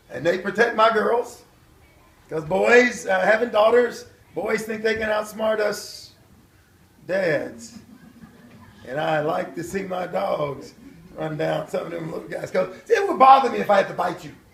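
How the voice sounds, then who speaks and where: Long, frequent pauses break up a man's fairly slow speech, his pitch high and his intonation lively. Noticeable background noise runs underneath. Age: 60s. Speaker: former pro football player and preacher. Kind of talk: testimony. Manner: casual, conversational.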